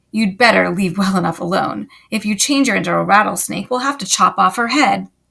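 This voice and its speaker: A woman growls at a medium pitch and a fairly quick pace in a put-on character voice. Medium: read story.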